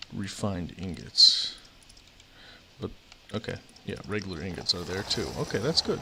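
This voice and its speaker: Pausing long and often, a man with a fairly low pitch talks at a moderate pace, with ordinary pitch variation and big swings in loudness. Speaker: video game streamer. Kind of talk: casual gameplay commentary. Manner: soft-spoken. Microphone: quiet mic.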